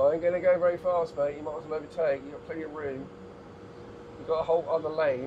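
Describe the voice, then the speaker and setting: A man with an English accent speaks at a very fast pace in a monotone, flat intonation. His pitch is fairly high, and there is noticeable background noise. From England. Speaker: travel vlogger. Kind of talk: casual driving vlog commentary. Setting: in a car. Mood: relaxed, chatty. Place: car. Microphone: camera far.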